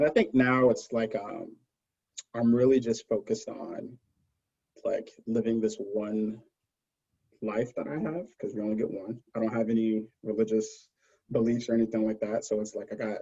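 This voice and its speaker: With an American accent, a man talks at a medium pitch in a dark, mellow tone. His intonation stays fairly even, broken by long, frequent pauses. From Brooklyn, New York City. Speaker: cancer scientist, pharma consultant. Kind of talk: podcast interview, casual chat. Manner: fast.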